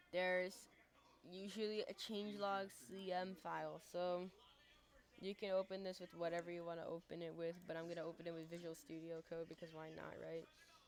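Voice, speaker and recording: A woman talks at a fairly quick pace, her pitch fairly low and her intonation monotone and flat. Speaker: tech tutorial youtuber. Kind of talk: tutorial. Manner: halting, self-admitted stuttering; casual.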